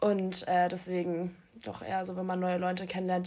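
A woman speaks with a medium pitch and fairly even intonation. Noticeable background noise is audible in the recording. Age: young. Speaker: university student. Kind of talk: casual chat.

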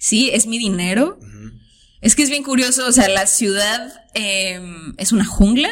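This woman talks fairly slowly with a fairly high pitch and some vocal fry. Her pitch varies in an ordinary way while her loudness swings widely. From Tijuana, Mexico. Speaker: artist. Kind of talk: casual chat.

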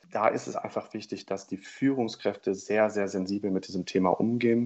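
Fairly quick speech from a man with an unremarkable speaking voice. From northern Germany, Oldenburg. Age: 20s. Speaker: corporate team leader. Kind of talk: interview.

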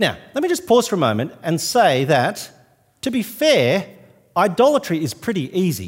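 In an Australian accent, a man speaks at a high pitch with very wide pitch swings. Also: moderate pace. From New South Wales, Australia. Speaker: visiting minister. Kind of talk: sermon. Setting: church.

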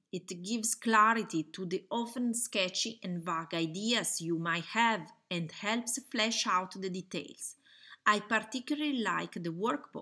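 A woman's bright, sharp tone in an Italian accent, at a fairly slow pace. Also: medium pitch for a woman, ordinary pitch variation. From Italy. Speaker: online fashion school founder and webinar presenter. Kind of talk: webinar presentation. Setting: webinar with slides, recorded online.

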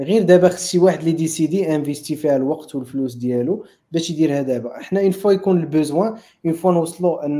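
A man talks at a very fast pace with hardly any pauses, his fairly high pitch carrying ordinary variation and a dark, mellow tone on a very clean recording with a silent background. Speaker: head of engineering, tech conference co-founder. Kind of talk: technical discussion.

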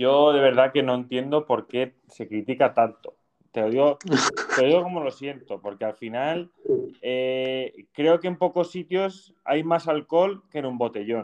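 A man's ordinary speaking voice, fairly high in pitch, with ordinary pitch variation at a fairly slow pace. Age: 20s. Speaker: podcast host. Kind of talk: casual chat.

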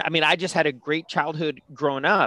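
Recorded very cleanly against a silent background, a bright, sharp voice with a Californian accent moves at a moderate pace, the sound dry and close with no echo. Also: man. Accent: Californian American English. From San Francisco, California. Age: 40s. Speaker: career coach and former lawyer. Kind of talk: casual interview.

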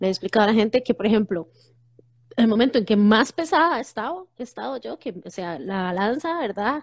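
Fairly quick, lively speech from a woman with a fairly high voice, in dry, close sound with no echo. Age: 40s. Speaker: psychologist. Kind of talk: casual chat. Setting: Instagram live video call.

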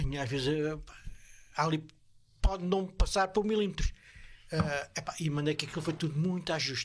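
A man with a fairly high pitch talks at a fairly quick pace with ordinary pitch variation. His speech is broken by long, frequent pauses. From Portugal, Évora. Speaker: bus driver. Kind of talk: casual chat. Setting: studio.

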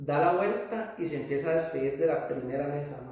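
A man speaks at a moderate pace with a Costa Rican accent. Audible room echo surrounds his voice. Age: 30s. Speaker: stand-up comedian. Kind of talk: casual chat.

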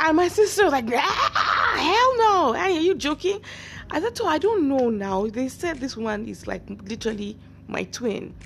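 A woman with a high pitch speaks with very wide pitch swings over noticeable background noise. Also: moderate pace. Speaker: podcast host and actress. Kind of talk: casual monologue. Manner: laughs often.

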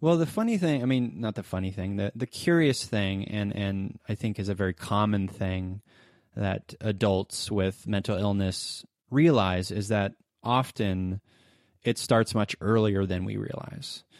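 A normal speaking voice, with ordinary pitch variation and a fairly slow pace, comes through in a very clean recording with a silent background and a dry, close sound with no echo. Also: man, fairly low pitch for a man. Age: 30s. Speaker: podcast host and producer, guest. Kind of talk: casual interview.

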